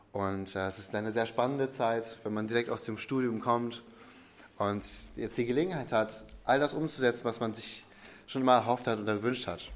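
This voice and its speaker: At a moderate pace, a man talks with fairly even intonation at medium pitch. Audible room echo can be heard. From Ostwestfalen, Germany. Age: 20s. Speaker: pastor. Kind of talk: sermon.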